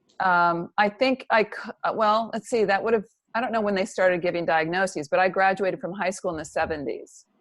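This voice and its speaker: Against a quiet background, a woman with an American accent speaks fairly quickly at medium pitch with ordinary pitch variation. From US, Central California. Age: 60s. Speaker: psychotherapist and author. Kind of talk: interview.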